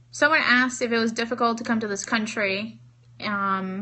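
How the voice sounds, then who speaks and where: A woman's fairly even intonation amid audible room echo. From Cuba. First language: Spanish. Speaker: network marketing trainer. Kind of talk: live-stream training with Q&A.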